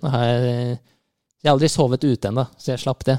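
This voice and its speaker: A man speaks at a medium pitch in a dark, mellow tone. The sound is dry and close, with no echo. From Norway, Rælingen (east of Oslo). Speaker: podcast co-host. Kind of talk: casual chat.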